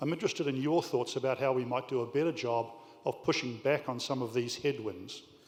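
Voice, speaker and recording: A man speaks fairly quickly with a New Zealand accent. His pitch sits in the medium range. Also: ordinary pitch variation. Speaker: business leader, audience questioner. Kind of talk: audience question at panel. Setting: conference hall with audience.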